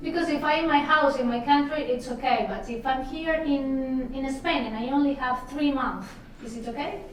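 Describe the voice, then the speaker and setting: Noticeable background noise and audible room echo surround a woman's voice. She speaks at a high pitch with fairly even intonation. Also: moderate pace. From Italy. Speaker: travel vlogger. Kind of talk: interview.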